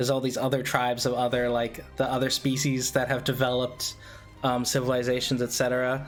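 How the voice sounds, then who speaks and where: A man of medium pitch talks at a fairly quick pace with music playing behind him. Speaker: podcast host. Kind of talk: casual podcast talk.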